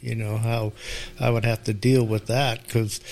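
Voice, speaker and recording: Speaking at a medium pitch, a man is heard. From Sacramento, California. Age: 60s. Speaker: parishioner. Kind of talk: casual interview.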